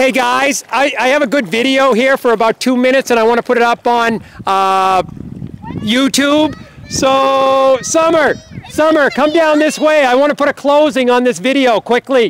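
Amid light background noise, a man speaks at an extremely high pitch with ordinary pitch variation. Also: moderate pace, dry sound with no echo. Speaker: teacher leading a field trip. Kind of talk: instructions to students. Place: open country. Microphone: phone near.

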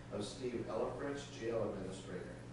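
Through strong room echo and noticeable background noise, a man speaks at a moderate pace with fairly even intonation. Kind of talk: formal meeting procedure. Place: meeting room. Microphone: camera far.

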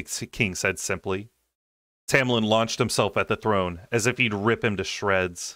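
Against a quiet background, a man talks at a moderate pace in a bright, sharp tone, the sound dry with no echo. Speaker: audiobook reader. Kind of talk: audiobook narration. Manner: soothing. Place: home room.

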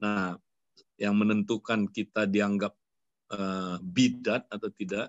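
A man speaks at a very slow pace with a fairly low pitch and monotone, flat intonation. The sound is dry with no echo, over a quiet background. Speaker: church ministry leader; speaker. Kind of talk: sermon-like teaching. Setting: video call. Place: home room. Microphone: webcam.

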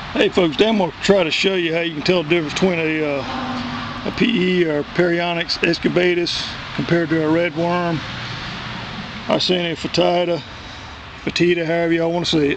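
Over noticeable background noise, a man with a Southern US accent speaks in a high voice at a moderate pace with fairly even intonation, the sound dry with no echo. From US South. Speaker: worm composting hobbyist. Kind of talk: tutorial. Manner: casual, halting with fillers. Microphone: phone near.

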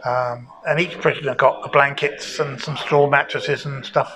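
A man talks while noticeable background noise sits behind him. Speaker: local history guide. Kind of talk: interview answer. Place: home room. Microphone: lapel.

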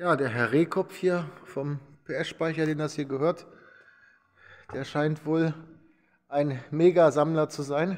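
Against a quiet background, a man with a fairly high pitch talks at a very slow pace, with fairly even intonation and long, frequent pauses. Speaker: vlogger touring a motorcycle museum. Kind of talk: casual walkthrough vlog commentary. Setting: indoors in a vehicle museum. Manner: hesitant with repetitions and fillers. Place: hall. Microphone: phone near.

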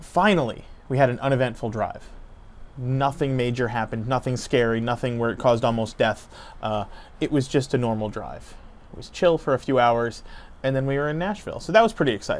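A man talks at a fairly quick pace. His pitch shows ordinary variation. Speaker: family travel vlogger. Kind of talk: casual vlog chat. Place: street. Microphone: lapel.

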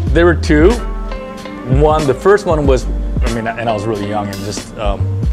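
A man talks with a fairly low pitch and very wide pitch swings. Clear music plays in the background. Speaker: surfboard shaper. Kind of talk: interview answer. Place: shop. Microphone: lapel.

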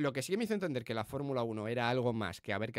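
Dry with no echo, the recording has a man talking at a very fast pace. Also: quiet background. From Spain. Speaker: Formula 1 podcast host; podcast co-host. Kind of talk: casual chat. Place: studio. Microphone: studio mic.

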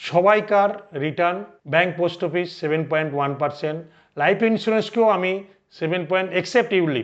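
Pitched high, a man talks with fairly even intonation. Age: 60s. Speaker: financial advisor. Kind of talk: educational talk to camera.

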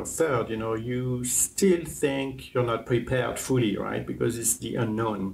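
A man at medium pitch with ordinary pitch variation and a moderate pace. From France. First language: French. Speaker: hotel general manager. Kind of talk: interview. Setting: on location in a hotel. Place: home room. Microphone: lapel.

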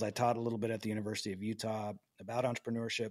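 Talking at a very fast pace, a man has a medium pitch and an American accent. The recording is very clean, with a silent background. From US, small town. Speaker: podcast host. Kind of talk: interview. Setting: home apartment.

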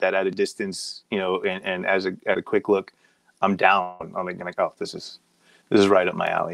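Fairly quick speech from a man, with quiet behind him. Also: dry sound with no echo. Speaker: comic artist hosting online convention. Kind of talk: live portfolio review. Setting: home office livestream. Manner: casual with many fillers. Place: home room.

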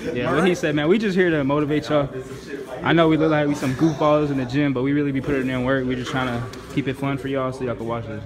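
Over clear background music, a man talks very fast with fairly even intonation. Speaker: vlogger filming friends. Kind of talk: casual vlog chat. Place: gym. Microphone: phone near.

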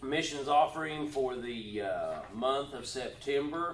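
A man talks at a very slow pace amid light background noise and audible room echo. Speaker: pastor. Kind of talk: church announcements. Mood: warm, joking. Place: church. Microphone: camera far.

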